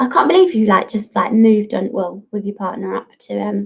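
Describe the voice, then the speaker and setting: A woman's voice with an Estuary English accent. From Kent, Gravesend/Dartford area. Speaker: fitness model. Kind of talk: casual chat on a livestream Q&A.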